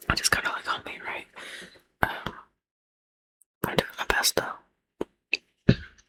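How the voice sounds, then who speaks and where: Someone whispers at a very slow pace with long, frequent pauses. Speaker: ASMR content creator. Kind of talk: whispered ASMR ramble to camera. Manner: whispered, soft.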